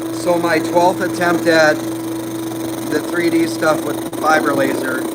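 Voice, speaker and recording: With lively intonation and a fairly high pitch, a man speaks very slowly amid noticeable background noise and audible room echo. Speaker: laser engraving hobbyist streamer. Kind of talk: live stream demo. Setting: workshop next to laser machine. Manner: loud.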